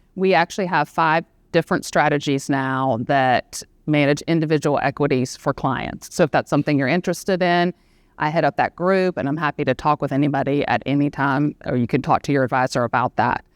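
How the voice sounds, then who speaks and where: A woman with a Southern US accent speaks at a fairly quick pace with a very deep, low pitch and very even loudness. The background is quiet and the sound is dry and close with no echo. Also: ordinary pitch variation. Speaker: equity strategist and panel moderator. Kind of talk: panel discussion moderation. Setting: live event with audience in room.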